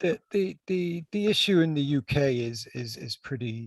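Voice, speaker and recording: A somewhat breathy man with an American accent at a fairly slow pace, in a dry, close sound with no echo. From United States. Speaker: healthcare executive. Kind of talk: panel discussion. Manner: halting, many repetitions.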